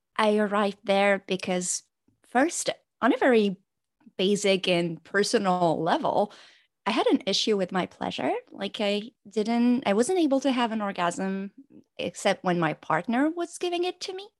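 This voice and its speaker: A woman with lively intonation talks at a moderate pace, and the background is quiet. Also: medium pitch for a woman, dry, close sound with no echo. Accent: French. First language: French. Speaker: pleasure coach and doctor. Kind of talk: interview, podcast conversation. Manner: stressed, halting English.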